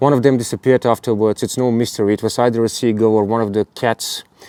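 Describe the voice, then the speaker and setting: A man with a dark, mellow tone speaks in a monotone, flat intonation, recorded dry and close with no echo. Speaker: airgun hunting vlogger. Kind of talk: hunting video narration.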